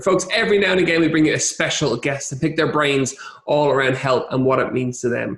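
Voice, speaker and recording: A man with an Irish accent talks fairly quickly at a fairly high pitch, with ordinary pitch variation and very even loudness, over noticeable background noise. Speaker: podcast host. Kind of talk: podcast interview questions.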